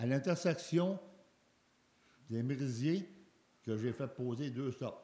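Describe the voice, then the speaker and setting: A man talks at a very slow pace with a fairly high pitch. His tone is dark and mellow, and somewhat breathy. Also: ordinary pitch variation. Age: 70s. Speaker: citizen at question period. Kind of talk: public question period. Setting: council chamber with public.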